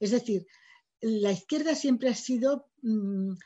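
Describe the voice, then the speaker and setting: The voice is dark, mellow and somewhat breathy over a quiet background. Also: woman. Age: 60s. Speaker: writer. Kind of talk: lecture.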